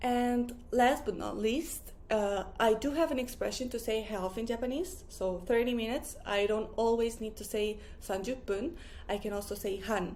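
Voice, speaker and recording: Audible room echo surrounds a woman speaking at a fairly high pitch and a fairly slow pace. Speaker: Japanese language teacher. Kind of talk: tutorial.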